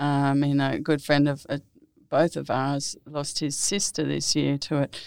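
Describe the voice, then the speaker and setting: Very clean and set against a silent background, the recording has a woman speaking at a fairly slow pace in a very deep, low, monotone, flat voice. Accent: Australian. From Australia, New South Wales Southern Highlands. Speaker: former ambassador. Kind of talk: interview.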